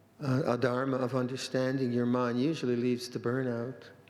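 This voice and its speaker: Monotone, flat intonation comes at a moderate pace, with audible room echo. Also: man. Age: 70s. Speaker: Buddhist monk, monastery abbot. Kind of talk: dharma talk. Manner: halting, frequent repetitions.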